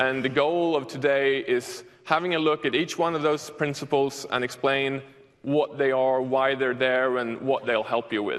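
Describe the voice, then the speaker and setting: A man in a Swedish accent, fairly high in pitch, fairly even in intonation, at a moderate pace. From Sweden. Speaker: software developer, conference speaker. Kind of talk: conference talk. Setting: stage with audience.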